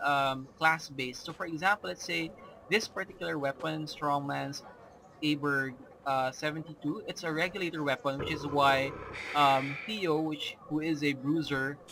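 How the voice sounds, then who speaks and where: A man speaks with a Filipino accent at a moderate pace. His pitch is fairly high. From Philippines. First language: Filipino language. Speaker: gamer. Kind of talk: gameplay commentary. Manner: hesitant, many fillers.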